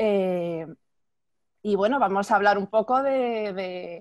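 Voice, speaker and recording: The speech moves at a very slow pace with ordinary pitch variation against a quiet background. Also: woman. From Spain (Madrid). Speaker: art magazine section editor, interviewer. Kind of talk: casual interview. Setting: video call. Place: home room. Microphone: earbuds.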